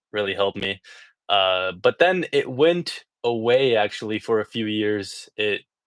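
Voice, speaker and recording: A man's fairly low voice at a very slow pace, with ordinary pitch variation, in a dry, close recording with no echo, very clean and set against a silent background. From Iraq (Baghdad), moved to US as child. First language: Arabic. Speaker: person who stutters. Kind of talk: interview. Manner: mild blocks and repetitions.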